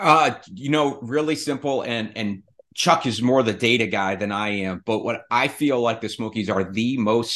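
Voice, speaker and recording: A man with an American accent, a plain, everyday voice, moderate pace and ordinary pitch variation against a quiet background. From Rhode Island, US Northeast. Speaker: real estate investor. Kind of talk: casual chat.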